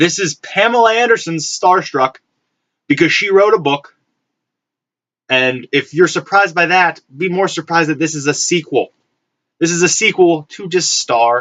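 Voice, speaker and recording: A man talks with very wide pitch swings and long, frequent pauses. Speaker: collector vlogger. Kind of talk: casual haul vlog. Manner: fast; halting with repetitions.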